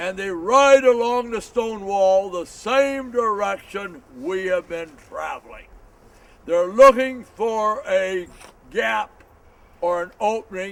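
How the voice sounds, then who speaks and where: Speaking very slowly in an American accent, a man uses a high pitch with ordinary pitch variation and big swings in loudness. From Montana, USA. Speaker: historian. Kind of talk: history tour talk. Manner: dynamic.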